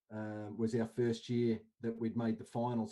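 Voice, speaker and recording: A man's medium-pitched voice with a dark, mellow tone and an Australian accent. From Australia, Canberra. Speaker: indoor cricket coach. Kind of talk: casual chat.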